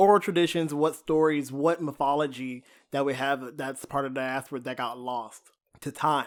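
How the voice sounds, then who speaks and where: With a normal speaking voice, the man talks fairly high in pitch and keeps his intonation fairly even. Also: very clean recording, silent background. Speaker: horror podcast host. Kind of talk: casual film review discussion.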